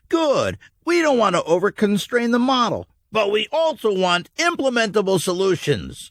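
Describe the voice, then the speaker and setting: A man puts on a character voice with a high pitch. He keeps a moderate pace in a very clean recording with a silent background. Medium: read story. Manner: earnest, fatherly.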